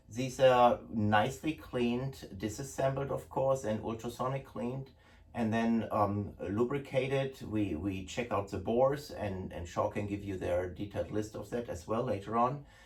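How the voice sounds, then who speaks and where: A man speaks with a German accent at a medium pitch and a moderate pace. His voice is somewhat breathy, with ordinary pitch variation. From Germany. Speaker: gun importer. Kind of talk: product presentation. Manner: casual, hesitant with fillers.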